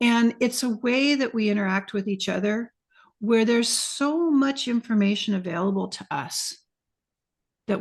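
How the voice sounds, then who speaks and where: A somewhat breathy woman speaks at a fairly slow pace with ordinary pitch variation. The background is quiet. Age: 60s. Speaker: retreat facilitator and podcaster. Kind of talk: interview. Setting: video call.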